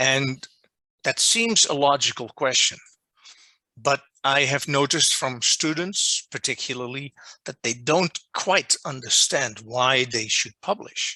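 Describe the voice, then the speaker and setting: A man speaks with a Dutch accent in a fairly high, bright and sharp voice. The sound is dry and close with no echo, and his pitch varies in an ordinary way. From Netherlands. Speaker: journal editor giving a workshop. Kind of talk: lecture. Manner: deliberately not too fast.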